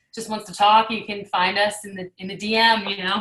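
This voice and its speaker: A woman talks at a fairly quick pace. Her pitch is fairly high. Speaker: video producer, filmmaker. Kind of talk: casual interview chat. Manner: fast-talking.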